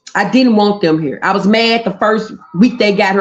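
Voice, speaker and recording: This woman has a strong Memphis accent and a medium pitch. Her intonation is lively. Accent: Memphis drawl, strong. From US South, Memphis, Tennessee. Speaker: livestreamer. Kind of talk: casual chat.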